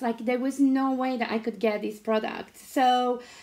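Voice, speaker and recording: This woman speaks at a high pitch. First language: not English. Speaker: craft product demonstrator. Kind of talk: interview, personal story.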